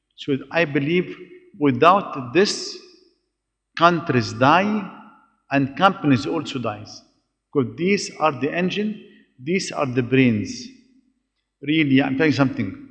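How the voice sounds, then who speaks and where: Speaking at a very slow pace with long, frequent pauses, a man uses lively intonation and vocal fry in a fairly high pitch. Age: 60s. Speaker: business executive. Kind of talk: panel discussion. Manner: halting.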